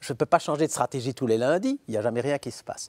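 This man speaks with lively intonation. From Belgium. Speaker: philosopher and professor; talk show guest. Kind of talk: interview. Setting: studio. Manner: hesitant with repetitions. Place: studio. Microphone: lapel.

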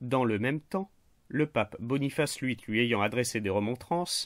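A plain, everyday voice moves at a fairly slow pace with ordinary pitch variation, in a very clean recording with a silent background and a dry, close sound with no echo. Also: man. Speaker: history narrator. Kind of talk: scripted history narration for a general audience. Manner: measured, storytelling; clear and didactic.

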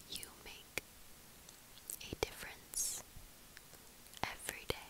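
Whispering at a very slow pace, a woman speaks in a gentle tone. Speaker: ASMR content creator. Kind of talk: whispered positive affirmations video. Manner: gentle, soft whisper. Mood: calm, kind, reassuring. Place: home room. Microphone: earbuds.

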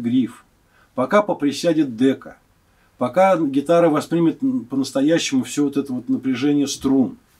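The background is quiet. A man speaks at a moderate pace with ordinary pitch variation. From Moscow, Russia; Russia. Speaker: guitar maker. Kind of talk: interview. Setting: workshop. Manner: halting. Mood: calm, thoughtful. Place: workshop.

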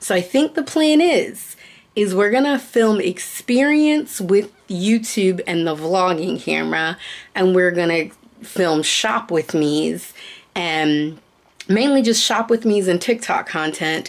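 The delivery comes at a very slow pace, with very wide pitch swings. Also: woman. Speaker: vlogger. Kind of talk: casual vlog chat. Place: home room. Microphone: phone near.

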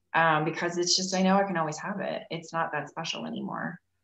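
In a room with audible echo, a woman with a fairly low voice talks at a moderate pace with fairly even intonation. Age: 40s. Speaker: leadership coach. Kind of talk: casual interview chat. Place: home room. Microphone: video call.

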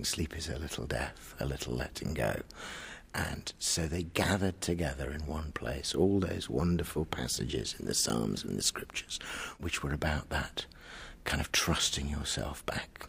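Vocal fry at a moderate pace. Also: man. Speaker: priest and chaplain. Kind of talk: interview answer about church service. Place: church.

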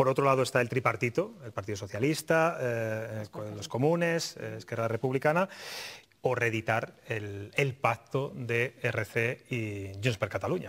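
The speaker talks at a fairly slow pace with ordinary pitch variation. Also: man. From Spain. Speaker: TV talk show host. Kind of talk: TV political talk show. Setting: TV studio. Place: studio. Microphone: lapel.

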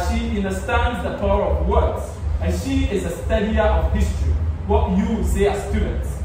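Through strong room echo and noticeable background noise, a man talks at a fairly slow pace. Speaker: event host introducing a guest. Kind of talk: formal introduction speech. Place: hall. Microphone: camera far.

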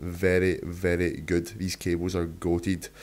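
A man talks with a Scottish accent. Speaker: fitness YouTuber and online coach. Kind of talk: vlog voiceover tutorial. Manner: casual, swears freely.

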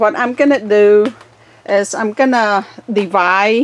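The woman here speaks at a very slow pace. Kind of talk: casual tutorial narration. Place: garden. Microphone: phone near.

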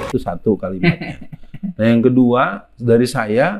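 Against a quiet background, a man speaks. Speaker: preacher and anti-communist speaker. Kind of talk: religious and political lecture in interview format. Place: home room. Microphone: lapel.

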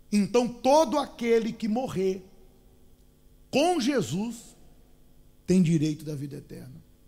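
A man's high-pitched voice, dark and mellow in tone, moves at a very slow pace. Long, frequent pauses break up very wide pitch swings. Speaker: preacher. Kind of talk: sermon. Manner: urgent, exhorting, pleading with the listener; didactic, with rhetorical questions.

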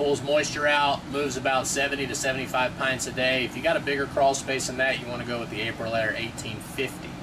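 Noticeable background noise sits behind a man speaking. His pace is moderate and his intonation monotone and flat. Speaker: crawl space contractor. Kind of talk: tutorial. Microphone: phone near.

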